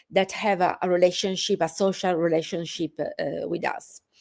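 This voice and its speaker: The tone is dark and mellow, with an Italian accent. The recording is very clean, over a silent background. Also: woman. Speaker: professor. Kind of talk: lecture. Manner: halting, many fillers.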